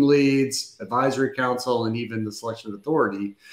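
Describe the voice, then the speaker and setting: A man with an American accent talks at a fairly quick pace, at medium pitch and with ordinary pitch variation. There is audible room echo over a quiet background. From US, Denver area; Colorado. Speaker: defense acquisition consultant; guest. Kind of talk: panel discussion. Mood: relaxed, enthusiastic.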